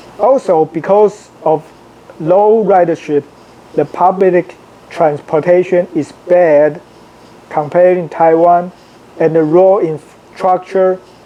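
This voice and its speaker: Very slow speech with long, frequent pauses and fairly even intonation, over noticeable background noise. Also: man, high pitch for a man. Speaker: international student. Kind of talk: opinion monologue to camera.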